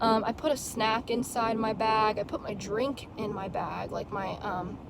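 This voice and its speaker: A woman's fairly high voice comes through noticeable background noise. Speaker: bag collector vlogger. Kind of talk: casual chat. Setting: in a car. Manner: halting, stuttering.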